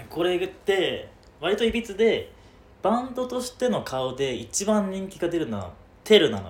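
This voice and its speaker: A man's high-pitched voice at a moderate pace, with very wide pitch swings and big swings in loudness. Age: 20s. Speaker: podcast co-host. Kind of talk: casual chat. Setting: rented studio space in Shibuya.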